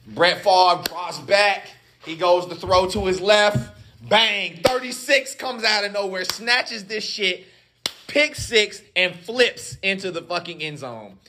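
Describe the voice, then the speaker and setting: Using a raised, projected voice with a high pitch, a man speaks at a very slow pace, his intonation lively and his loudness swinging widely. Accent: American. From US South, Durham, North Carolina. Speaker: podcast co-host. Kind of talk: casual chat. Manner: animated.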